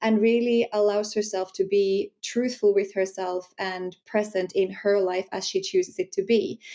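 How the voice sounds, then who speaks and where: A woman with a Finnish accent speaks in a dark, mellow tone and a flat, monotone delivery. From Finland. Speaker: sensuality empowerment coach. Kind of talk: podcast interview.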